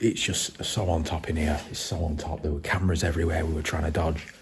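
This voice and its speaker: Whispering is what this man does. His pace is fairly quick. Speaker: urban explorer; urban explorer vlogger. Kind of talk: vlog narration. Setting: inside abandoned building. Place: hall. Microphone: phone near.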